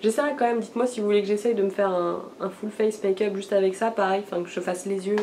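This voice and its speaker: A woman at a very fast pace with fairly even intonation, against noticeable background noise. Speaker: beauty vlogger. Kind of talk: casual haul video talk. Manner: hesitant, many fillers.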